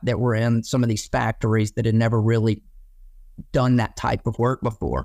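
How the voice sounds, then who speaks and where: A man with an Alabama accent speaks at a medium pitch in a monotone, flat way, on a very clean recording with a silent background. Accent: Southern US (Alabama). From Alabama, US South. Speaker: landscaping business owner. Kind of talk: interview. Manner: casual, many fillers.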